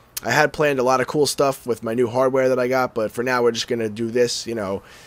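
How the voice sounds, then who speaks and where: Very fast and with fairly even intonation, a man speaks at a medium pitch over noticeable background noise. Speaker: gaming YouTuber. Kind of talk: gameplay commentary. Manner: casual, conversational.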